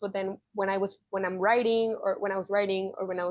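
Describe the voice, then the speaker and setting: A woman speaks at a moderate pace with a Spanish accent. Her pitch sits in the medium range. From Mexico. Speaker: journalist. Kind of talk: interview answer.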